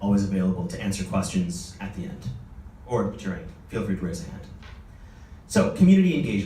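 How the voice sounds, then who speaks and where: Speech at a very fast pace comes with long, frequent pauses, big swings in loudness and ordinary pitch variation, along with audible room echo and noticeable background noise. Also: man, fairly low pitch for a man. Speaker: conference speaker on nonprofit marketing. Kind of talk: conference presentation.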